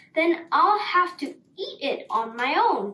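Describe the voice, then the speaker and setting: A woman puts on a character voice, pitched extremely high and swinging very widely up and down, at a fairly slow pace. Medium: read story. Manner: casual, offhand.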